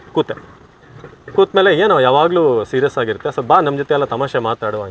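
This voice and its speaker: Vocal fry runs through a man's speech, which swings very widely in pitch. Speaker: former TV news anchor and voice-over artist. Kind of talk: casual interview.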